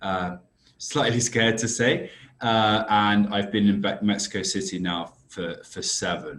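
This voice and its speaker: The speaker has a British accent and fairly even intonation. The pace is fairly slow. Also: man, fairly low pitch for a man. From UK. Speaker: risk consultancy director. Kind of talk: podcast interview.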